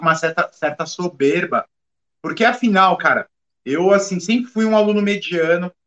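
A man's high-pitched voice, bright and sharp in tone, with a dry, close sound and no echo. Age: 40s. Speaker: criminal forensic expert and podcast co-host. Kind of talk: casual chat.

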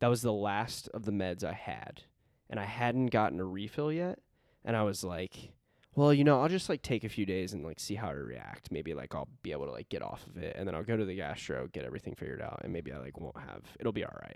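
A man speaks at a fairly quick pace in a fairly low pitch with vocal fry, very wide pitch swings and big swings in loudness, on a very clean recording with a silent background. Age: 20s. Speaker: podcast host. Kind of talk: casual chat.

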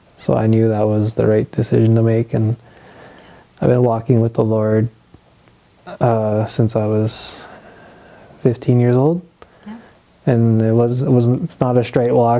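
A man speaks at a fairly slow pace with a medium pitch and fairly even intonation, leaving long, frequent pauses over noticeable background noise. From Ontario, Canada. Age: 20s. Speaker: young father sharing faith story. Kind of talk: testimony interview.

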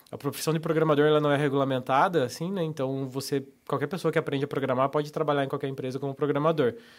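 Speaking very fast with hardly any pauses, a man keeps a fairly high pitch and a monotone, flat intonation. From Santa Catarina, Brazil. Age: 30s. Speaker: professional poker player. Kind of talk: casual interview. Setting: studio.

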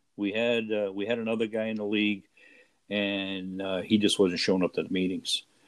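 A man with an American accent talks fairly quickly at a fairly low pitch, his intonation monotone and flat. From Rhode Island, US. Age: 60s. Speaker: tabletop baseball league player. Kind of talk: interview.

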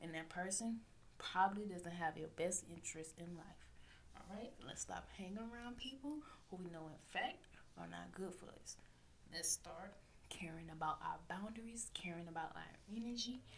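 The voice carries a Southern US accent and vocal fry. It moves at a moderate pace with ordinary pitch variation. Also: woman, fairly low pitch for a woman. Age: 20s. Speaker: podcast host. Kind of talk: casual solo monologue. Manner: loud.

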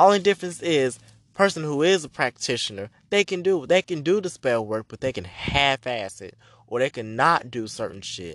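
In a dry, close recording with no echo, a man with a fairly high voice makes very wide pitch swings and big swings in loudness. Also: moderate pace. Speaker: witch and spiritual practitioner podcaster. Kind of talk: angry rant, unscripted and heated, fed up and calling out scammers; casual unstructured solo podcast talk. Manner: loud, emphatic and punchy, repeating lines for emphasis, sassy and profane; casual, chatty, filler-heavy, with 'girl' and 'baby' asides.

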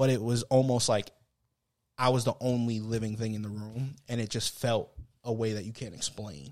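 An ordinary speaking voice moves at a moderate pace with fairly even intonation. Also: man, medium pitch for a man. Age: 30s. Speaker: podcast co-host. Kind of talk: casual chat.

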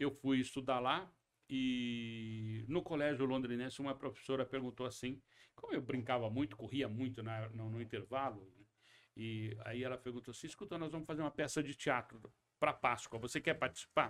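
This man has an ordinary speaking voice. His pitch is medium, with ordinary pitch variation. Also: moderate pace. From western São Paulo state and Paraná, Brazil. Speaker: actor, producer and director. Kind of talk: interview. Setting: studio.

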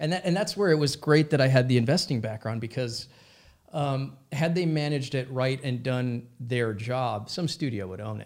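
A normal speaking voice with an American accent, ordinary pitch variation and a moderate pace. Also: man, medium pitch for a man. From US Midwest, Minnesota. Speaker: comedy company CEO. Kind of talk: casual interview.

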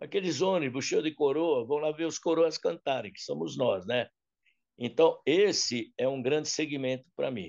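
Using a fairly high pitch with ordinary pitch variation, a man talks at a moderate pace, with vocal fry in his voice. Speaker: singer and artist manager. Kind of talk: interview storytelling.

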